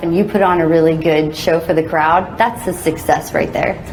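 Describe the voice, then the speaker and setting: A woman with an American accent talks at a fairly quick pace with fairly even intonation. Noticeable background noise and audible room echo are present. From Texas, El Paso. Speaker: monster truck driver. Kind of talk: interview. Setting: stadium with audience.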